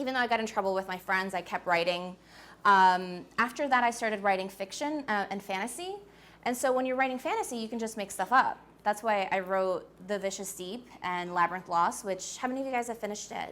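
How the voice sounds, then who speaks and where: A woman with an American accent speaks at a medium pitch and a fairly quick pace, in an animated tone with ordinary pitch variation. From US Northeast, Queens, New York. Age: 20s. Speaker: author. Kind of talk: talk to a school audience. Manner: casual, animated.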